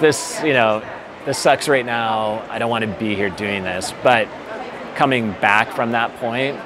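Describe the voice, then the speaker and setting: A man talks at a moderate pace. Noticeable noise sits in the background. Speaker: interviewee. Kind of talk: interview answer. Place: hall. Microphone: lapel.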